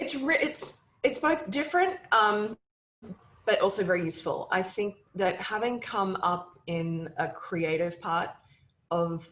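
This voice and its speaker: A woman with an American accent at a medium pitch, fairly slow pace and very wide pitch swings. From Australia. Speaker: media company CEO. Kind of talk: interview.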